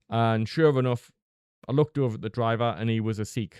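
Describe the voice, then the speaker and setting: A man with a Northeast English accent at medium pitch, fairly quick and fairly even in intonation, with a dry, close sound free of echo over a quiet background. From northeast England. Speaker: vlogger. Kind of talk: storytelling monologue. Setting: close to microphone. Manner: casual, conversational.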